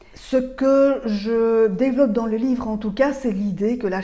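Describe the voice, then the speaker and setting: A woman's dark, mellow tone in a Belgian accent, with ordinary pitch variation, a fairly slow pace and audible room echo. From Belgium. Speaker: author and speaker on mental load. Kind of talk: talk to camera. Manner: hesitant, with frequent filler sounds.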